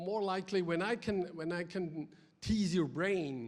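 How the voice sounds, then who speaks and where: This man's high pitch moves with ordinary variation as he talks at a fairly slow pace. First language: German. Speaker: ice hockey development director. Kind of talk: conference presentation. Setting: stage with audience. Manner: energetic; halting, many fillers.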